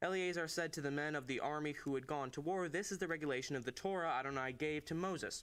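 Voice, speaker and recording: On a very clean recording with a silent background, a man speaks at a very fast pace and a fairly high pitch, with ordinary pitch variation and very even loudness. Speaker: scripture reader. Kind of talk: reading aloud.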